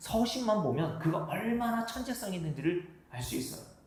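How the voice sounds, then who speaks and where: A man speaks in a high voice with lively intonation. Noticeable background noise and audible room echo surround him. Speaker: pastor. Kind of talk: sermon. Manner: fast.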